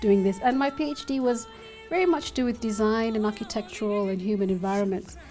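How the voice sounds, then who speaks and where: A woman's fairly high-pitched voice at a moderate pace, with ordinary pitch variation and an ordinary speaking voice. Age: 40s. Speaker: dancer and academic. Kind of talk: interview answer.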